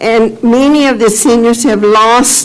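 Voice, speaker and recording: Over noticeable background noise and audible room echo, a woman talks very slowly in a high voice with lively intonation. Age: 80s+. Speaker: public commenter at county meeting. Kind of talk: public testimony. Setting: public government meeting. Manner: halting.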